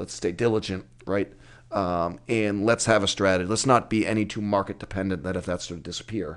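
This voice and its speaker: Against a quiet background, a man with a fairly low voice talks at a fairly quick pace with fairly even intonation. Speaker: construction company CEO. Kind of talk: casual interview. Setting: livestream. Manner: loud.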